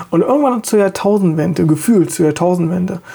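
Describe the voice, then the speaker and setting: This man's voice sits high in pitch, with a dark, mellow tone. His pitch variation is ordinary. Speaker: podcast host. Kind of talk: solo monologue.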